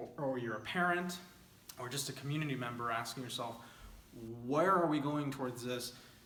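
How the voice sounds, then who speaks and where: A man with a medium-pitched voice talks at a fairly quick pace with ordinary pitch variation, leaving long, frequent pauses, while noticeable background noise and audible room echo fill the recording. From El Paso-Juarez border, Texas/Mexico. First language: Spanish. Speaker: nonprofit founder and executive director. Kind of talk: informal presentation over slides. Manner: conversational with frequent fillers.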